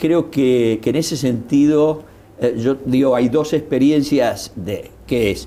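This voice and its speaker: A man talks at a very slow pace. His tone is dark and mellow. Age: 60s. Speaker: political commentator. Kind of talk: interview. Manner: halting.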